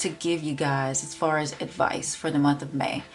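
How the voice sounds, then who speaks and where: A woman speaks at a fairly slow pace with a Southern US accent. Music plays in the background. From Memphis, Tennessee. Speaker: tarot reader. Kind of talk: tarot reading talk to camera.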